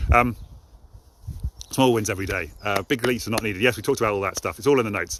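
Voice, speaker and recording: This man talks at a very fast pace in a fairly low voice with an English accent. His intonation is lively, and vocal fry runs through it. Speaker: motivational live streamer. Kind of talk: live stream monologue.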